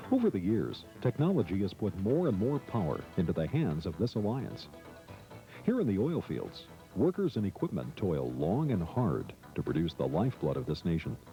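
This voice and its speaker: With music playing behind him, a man speaks at a moderate pace and a fairly low pitch, his pitch swinging very widely. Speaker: voice-over artist. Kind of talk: corporate training narration.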